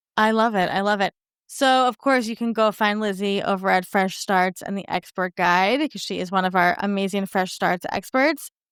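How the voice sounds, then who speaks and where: An unremarkable speaking voice from a woman with an American accent, medium pitch and ordinary pitch variation at a moderate pace, in a very clean, dry, close recording with no echo and a silent background. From New York. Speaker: podcast host. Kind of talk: interview.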